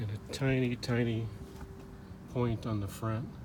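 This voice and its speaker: Intonation stays fairly even, with audible room echo in the recording. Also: man. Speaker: car seller. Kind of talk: product walkaround video. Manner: monotone.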